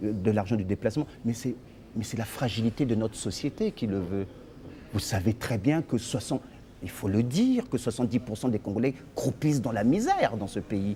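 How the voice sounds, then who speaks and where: Speaking at a moderate pace, a man uses a medium pitch with ordinary variation and a somewhat breathy, dark, mellow tone. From Congo-Brazzaville, Brazzaville (Poto-Poto). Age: 50s. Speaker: lawyer and party leader. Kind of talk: interview.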